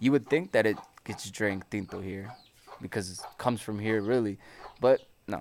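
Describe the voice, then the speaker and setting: With a Spanish accent, a man speaks at a fairly low pitch with fairly even intonation. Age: 20s. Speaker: coffee farm tour guide. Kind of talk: guided tour explanation. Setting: outdoors.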